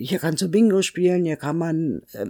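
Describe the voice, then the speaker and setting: A woman with a very deep, low pitch speaks at a moderate pace in a dry, close sound with no echo on a very clean recording with a silent background. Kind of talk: interview.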